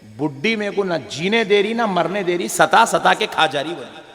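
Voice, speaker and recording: An animated man with a high pitch and ordinary pitch variation talks over noticeable background noise. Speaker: Islamic preacher giving a sermon. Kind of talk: funny religious sermon to an audience. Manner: humorous, animated, preachy.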